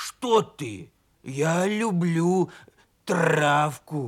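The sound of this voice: In a put-on character voice, a man growls at a very slow pace, hoarse and fairly high-pitched, with lively intonation.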